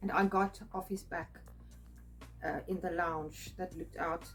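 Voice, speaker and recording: With music playing in the background, a woman talks at a fairly slow pace. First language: not English. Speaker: spiritual artist and video creator. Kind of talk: personal storytelling monologue. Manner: halting, many fillers.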